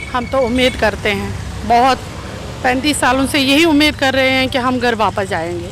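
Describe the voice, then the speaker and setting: A woman's high-pitched voice at a moderate pace, ordinary pitch variation and very even loudness, with noticeable background noise. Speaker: voter. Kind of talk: street interview.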